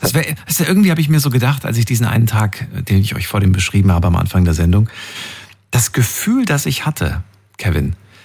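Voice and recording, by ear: Speaking fast with big pitch swings, a man uses a fairly low pitch, his tone slightly mellow with a slightly husky edge.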